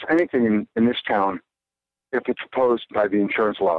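Using a normal speaking voice, a man talks at medium pitch and a fairly quick pace. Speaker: author. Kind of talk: interview conversation.

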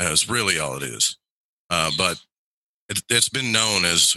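A man with a bright, sharp tone and some vocal fry speaks at a moderate pace. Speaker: radio host and occult practitioner. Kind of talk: casual interview.

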